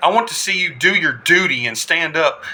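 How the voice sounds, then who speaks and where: Moderately paced speech from a man with an American accent, noticeable background noise around him. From US South. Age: 40s. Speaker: army combat veteran. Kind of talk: political address to camera. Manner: impassioned.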